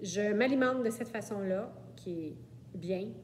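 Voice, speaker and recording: Speaking very slowly with a Quebec accent, a woman uses a medium pitch and very wide pitch swings, with audible room echo. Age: 60s. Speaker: client. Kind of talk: testimony. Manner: hesitant, many fillers.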